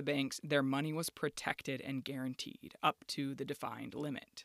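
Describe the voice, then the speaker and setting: The recording is very clean, with a silent background. The talking goes at a fairly quick pace. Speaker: podcast host and narrator. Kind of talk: scripted narration. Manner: formal, measured.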